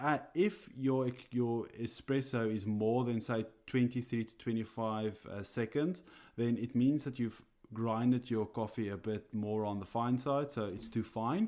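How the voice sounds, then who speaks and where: In a very clean recording with a silent background, a man speaks with a dark, mellow tone and fairly even intonation. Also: medium pitch for a man, fairly slow pace. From South Africa. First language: Afrikaans. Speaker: coffee roaster and podcast co-host. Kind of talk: casual podcast chat. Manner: hesitant, many fillers.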